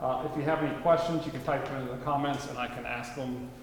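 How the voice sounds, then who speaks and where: Amid noticeable background noise and audible room echo, a man speaks with ordinary pitch variation. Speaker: gallery host introducing artist. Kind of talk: event introduction. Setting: art gallery with live audience. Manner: loud.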